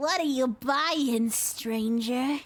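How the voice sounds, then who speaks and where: A woman's put-on character voice, high-pitched. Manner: gruff bar-side manner.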